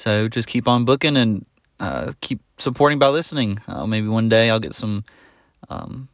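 A man with a Southern US accent speaks at a moderate pace and fairly low pitch, with ordinary pitch variation. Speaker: podcaster and YouTuber. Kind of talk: solo podcast update. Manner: casual, filler words.

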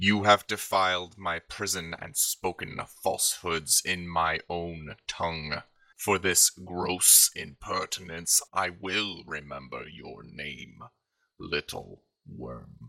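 Very slow and raspy, a man's put-on character voice drops to a very deep, low pitch. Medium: actual play. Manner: menacing, grand.

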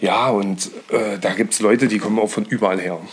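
A man's voice over noticeable background noise. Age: 30s. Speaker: hobby angler. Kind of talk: casual chat. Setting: friends' living room.

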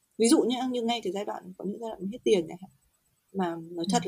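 A somewhat breathy, dark, mellow voice with lively intonation. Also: woman. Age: 30s. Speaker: guest on a parenting podcast, new mother. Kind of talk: casual chat.

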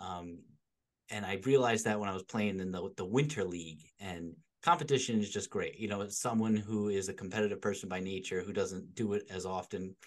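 Over a quiet background, a man with a normal speaking voice talks at a fairly quick pace, his pitch fairly low with ordinary variation. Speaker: podcast co-host. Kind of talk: casual chat.

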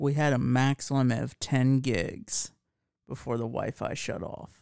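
A man with an ordinary speaking voice, medium pitch and ordinary pitch variation, in a dry, close sound with no echo. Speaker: podcast host. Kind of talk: casual chat.

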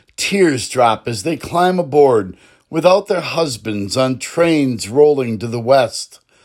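A man's medium-pitched voice moves very slowly but with lively intonation. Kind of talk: spoken word poem, rhymed protest verse. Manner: rhythmic, rhyming cadence, impassioned and urgent; pleading, emphatic refrain repeated.

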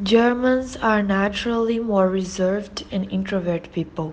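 A woman with a Portuguese accent, medium pitch, fairly even intonation and a moderate pace. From Brazil. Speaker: former exchange student. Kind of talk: interview.

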